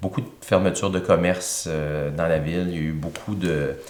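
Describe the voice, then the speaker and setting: The room echo is audible as a man talks at a moderate pace. His pitch is very deep and low, and his intonation fairly even. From Quebec, Thetford Mines. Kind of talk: interview.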